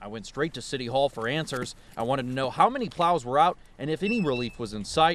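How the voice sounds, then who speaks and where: His pitch rises and falls across a very wide range. The man's delivery is very fast. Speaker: TV news reporter. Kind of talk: broadcast news reporter narration and stand-ups. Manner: energetic.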